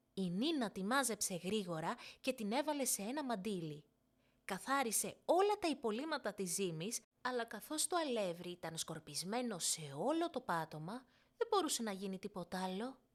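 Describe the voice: A woman at a medium pitch with big pitch swings, on a very clean recording with a silent background.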